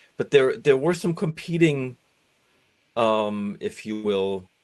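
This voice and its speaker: Over a quiet background, a man talks at a very slow pace with very wide pitch swings. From East Germany (East Berlin). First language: German. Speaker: doctoral candidate and musician. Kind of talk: podcast interview. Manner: reflective, with many fillers.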